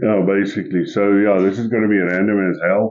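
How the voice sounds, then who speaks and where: Here is a man with a South African accent and a fairly low pitch. His intonation is monotone and flat. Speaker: podcast co-host. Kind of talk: casual chat.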